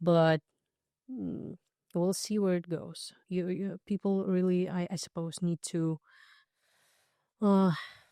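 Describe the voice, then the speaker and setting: A woman with a non-native accent talks at a very slow pace, pausing long and often, in a dark, mellow tone with fairly even intonation. The recording is very clean with a silent background and a dry, close sound with no echo. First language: not English. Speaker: dancer and singer. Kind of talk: podcast interview. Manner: halting.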